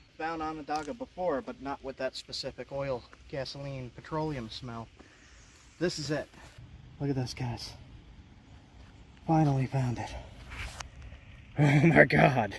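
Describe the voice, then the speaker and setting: With an American accent, a fairly high-pitched man talks fairly slowly with long, frequent pauses and big swings in loudness over noticeable background noise. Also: ordinary pitch variation. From Long Island, New York. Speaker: outdoors vlogger and flint knapper. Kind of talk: casual outdoor vlog narration. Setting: outdoors by a creek.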